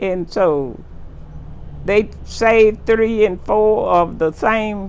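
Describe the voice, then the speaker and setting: In a Texas accent, a woman speaks at a very slow pace with ordinary pitch variation. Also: medium pitch for a woman. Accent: Southern US (Texas). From Texas, USA. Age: 80s+. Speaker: oral history interviewee. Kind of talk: interview answer.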